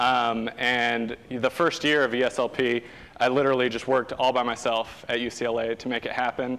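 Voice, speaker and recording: A fairly quick-paced man with an American accent and medium pitch. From Southern California. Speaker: sustainability activist, program founder. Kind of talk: guest lecture. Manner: animated.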